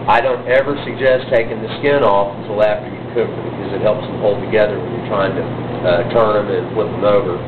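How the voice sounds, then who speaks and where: A man with a Southern US accent talks at a fairly quick pace, medium in pitch with fairly even intonation. Noticeable background noise and audible room echo surround him. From Texas. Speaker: butcher and caterer. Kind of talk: tutorial. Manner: casual, frequent filler words.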